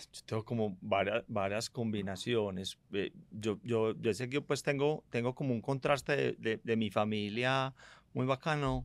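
A man with a normal speaking voice and a medium pitch talks at a fairly slow pace with ordinary pitch variation, on a very clean recording with a silent background and a dry, close sound with no echo. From Medellín, Colombia. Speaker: fintech company CEO. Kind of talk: interview conversation.

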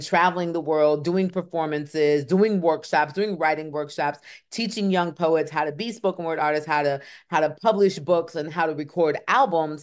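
A woman with an American accent and a fairly low pitch uses a normal speaking voice, ordinary pitch variation and a moderate pace against a quiet background. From Michigan (Kalamazoo). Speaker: spoken word poet. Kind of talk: interview; poetry performance.

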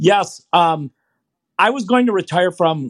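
A man with an American accent speaks at a fairly slow pace with lively intonation, the sound dry and close with no echo against a quiet background. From Michigan, US. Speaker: running coach. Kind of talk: interview. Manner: halting, many fillers.

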